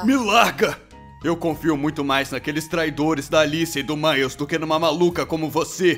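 Shouting in a cartoonish character voice, a man goes at a moderate pace with a fairly high pitch while clear music plays in the background. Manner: angry, defensive, shouting.

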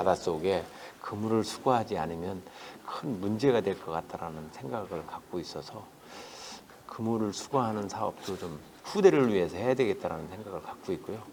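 The man has an ordinary speaking voice with a fairly low pitch and ordinary pitch variation. He keeps a moderate pace, though his loudness swings widely. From South Chungcheong, South Korea. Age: 60s. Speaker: politician, parliamentary candidate. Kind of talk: interview answer.

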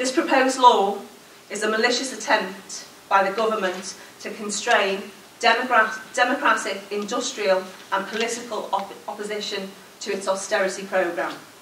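At a moderate pace, the voice keeps a fairly even intonation over light background noise, with audible room echo. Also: woman, fairly high pitch for a woman. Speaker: trade union regional convenor. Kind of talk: conference closing speech. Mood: forceful, rallying. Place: hall. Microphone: podium.

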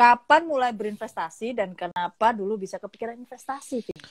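Against a quiet background, a woman talks at a moderate pace in a high pitch with lively intonation. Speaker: live stream host. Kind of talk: casual interview over Instagram Live. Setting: Instagram live video call.

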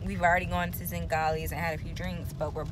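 There is noticeable background noise around a woman's voice, and the sound is dry with no echo. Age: 20s. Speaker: lifestyle vlogger. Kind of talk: casual vlog talk to camera.

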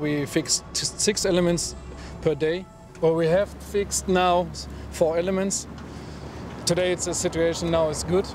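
A man's high-pitched, monotone, flat delivery at a fairly slow pace, with long, frequent pauses, dry sound without echo, and faint music in the background. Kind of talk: interview answer. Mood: relaxed, amused. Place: street.

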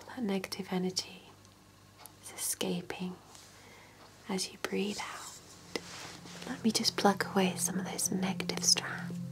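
A woman whispers at a fairly slow pace. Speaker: relaxation guide. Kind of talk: soft guided relaxation, ASMR-style. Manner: soft, hushed ASMR bedtime voice. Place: home room.

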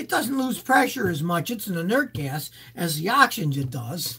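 Against a quiet background, a man uses a raised, projected voice at a moderate pace, his pitch swinging very widely. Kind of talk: live Q&A answers. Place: home room. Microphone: webcam.

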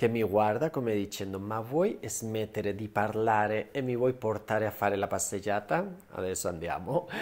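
At a moderate pace, a man with a Spanish accent talks in a fairly low pitch. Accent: Spanish accent in Italian. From Spain. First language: Spanish (speaking Italian). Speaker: cosmetic surgeon and skincare YouTuber; skincare YouTuber. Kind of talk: skincare tutorial; casual vlog tutorial. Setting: at home. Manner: animated. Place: home room. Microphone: lapel.

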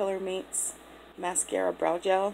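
Noticeable background noise sits behind a woman's speech. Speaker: beauty vlogger. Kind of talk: makeup tutorial. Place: home room. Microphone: phone near.

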